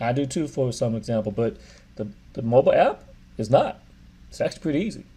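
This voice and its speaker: Speaking with an American accent, a man talks at a fairly quick pace in a medium pitch. His somewhat breathy voice has a dark, mellow tone over a quiet background. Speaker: real estate agent. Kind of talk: tutorial. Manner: fast; casual, upbeat.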